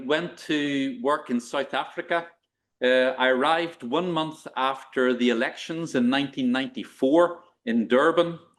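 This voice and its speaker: A man with an Irish accent talks fairly slowly at a fairly high pitch. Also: ordinary pitch variation. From Northern Ireland, Belfast. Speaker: professor of global health. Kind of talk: lecture. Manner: halting, many fillers.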